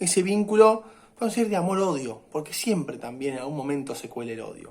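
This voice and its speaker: Delivered at a very fast pace, the speech has very wide pitch swings and big swings in loudness. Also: man, high pitch for a man. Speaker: university lecturer. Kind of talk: lecture. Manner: hesitant fillers and repetitions.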